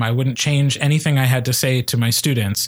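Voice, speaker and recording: A man speaks at a moderate pace and medium pitch, somewhat breathy. The recording is very clean, with a silent background. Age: 30s. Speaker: podcast host and speech coach. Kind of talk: casual chat.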